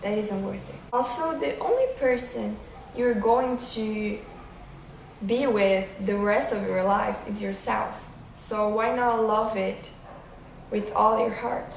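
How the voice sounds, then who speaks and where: Speaking very slowly with a non-native accent, a woman with a fairly high voice keeps her intonation fairly even, while noticeable background noise and audible room echo fill the recording. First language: not English. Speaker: vlogger. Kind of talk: casual vlog monologue. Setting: outdoors on a windy day.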